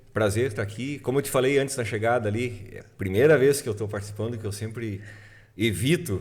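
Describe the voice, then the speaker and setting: A man talks at a fairly quick pace. His voice is somewhat breathy, with ordinary pitch variation. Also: medium pitch for a man. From southern Brazil, Passo Fundo (Rio Grande do Sul). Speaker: music producer and musician. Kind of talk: casual chat.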